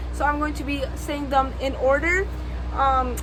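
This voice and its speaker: With music in the background and audible room echo, a woman speaks at a fairly slow pace. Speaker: book vlogger. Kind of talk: casual vlog monologue. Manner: loud.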